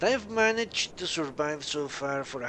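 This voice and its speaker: With very wide pitch swings, a man talks at a fairly slow pace over noticeable background noise. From Colombia. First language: Spanish. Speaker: gaming streamer. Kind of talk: live gameplay commentary. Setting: live stream.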